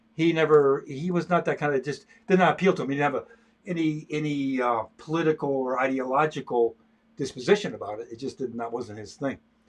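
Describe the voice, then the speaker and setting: Fairly high-pitched for a man, his voice races along at a very fast pace with ordinary pitch variation and big swings in loudness. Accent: American. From US Midwest (Michigan, near Detroit). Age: 80s+. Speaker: painter and illustrator. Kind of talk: casual chat. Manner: halting, many repetitions.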